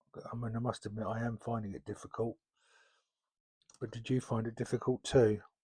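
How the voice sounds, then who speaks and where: A man's relaxed, somewhat breathy voice at medium pitch, dark and mellow in tone, monotone and flat, fairly quick yet broken by long, frequent pauses, dry and close with no echo. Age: 60s. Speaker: LEGO YouTuber. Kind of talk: casual talk while building. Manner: halting, many fillers.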